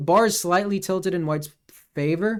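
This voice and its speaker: Animated in tone, a man speaks at a moderate pace with ordinary pitch variation. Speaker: chess streamer. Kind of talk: game commentary. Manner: casual, animated.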